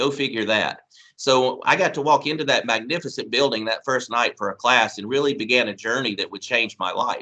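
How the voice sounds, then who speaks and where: Speaking in a Southern US accent, a man at a medium pitch has a bright, sharp tone. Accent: southern drawl. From Mississippi. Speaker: college administrator. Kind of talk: ceremony speech. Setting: recorded video address.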